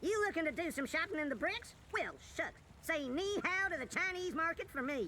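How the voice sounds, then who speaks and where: A put-on character voice goes extremely high at a moderate pace. Clear background noise is heard behind it. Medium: video game. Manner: salesy.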